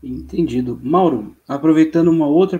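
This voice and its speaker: At a fairly slow pace, a man speaks in a fairly high voice with a dark, mellow tone. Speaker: podcast host. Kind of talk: casual chat.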